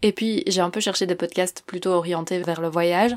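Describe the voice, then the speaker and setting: At a moderate pace, a woman speaks in a fairly low pitch with monotone, flat intonation, on a very clean recording with a silent background. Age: 20s. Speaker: podcaster. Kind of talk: self-presentation interview.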